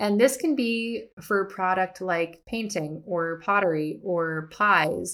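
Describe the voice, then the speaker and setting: The voice moves at a very slow pace with hardly any pauses, its intonation lively and its tone warm and upbeat. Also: woman, medium pitch for a woman. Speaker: artist and educator, podcast host. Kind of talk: casual solo podcast monologue. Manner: warm, upbeat, animated.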